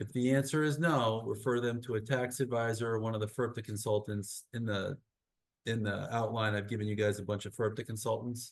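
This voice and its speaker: An unremarkable speaking voice, a man of medium pitch at a fairly quick pace, with fairly even intonation over a quiet background. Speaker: real estate attorney. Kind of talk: webinar presentation.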